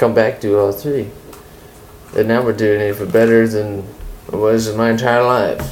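A man's monotone, flat delivery with music in the background. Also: medium pitch for a man, moderate pace. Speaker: friend of host. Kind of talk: casual chat.

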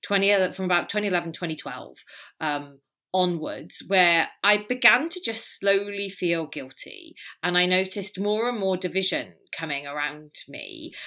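With a Welsh accent, a woman speaks at a medium pitch in a bright, sharp tone, her lively intonation paired with big swings in loudness on a very clean recording with a silent background. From Wales. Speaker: polarization expert and author. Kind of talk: interview conversation.

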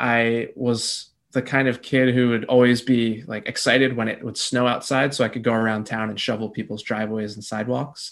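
A moderate pace, an American accent, and fairly even intonation. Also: man. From New Jersey, US. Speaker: business coach. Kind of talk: interview.

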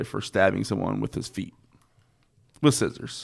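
A man speaks with an American accent and audible vocal fry. The recording is very clean, with a silent background. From North Carolina (Statesville). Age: 30s. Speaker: podcast host, DJ. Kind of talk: casual chat. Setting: studio.

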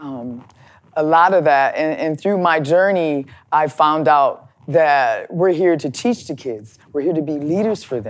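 With an American accent, the speaker moves at a fairly slow pace with ordinary pitch variation on a very clean recording against a silent background. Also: woman, very deep, low pitch for a woman. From US Midwest, Chicago and Minneapolis. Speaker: plumber and pipe fitter, advocate for women in trades. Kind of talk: interview. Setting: studio.

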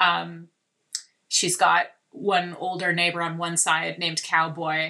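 In a very clean recording with a silent background, a woman speaks in a fairly low, bright, sharp voice with vocal fry and monotone, flat intonation. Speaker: TV and podcast creator, horse owner. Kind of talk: casual chat.

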